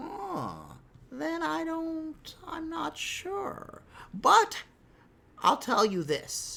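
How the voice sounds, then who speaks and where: Someone performs a put-on character voice at a high pitch. The pace is very slow. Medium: read story.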